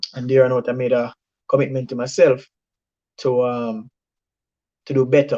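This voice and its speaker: A man with a Jamaican accent at a medium pitch, in a dry, close sound with no echo. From Jamaica, Saint Mary. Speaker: medical doctor, former student. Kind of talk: testimony. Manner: halting, many repetitions.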